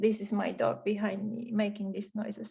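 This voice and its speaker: A woman with a Polish accent. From Poland, Warsaw. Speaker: webinar presenter. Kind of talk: online webinar moderation.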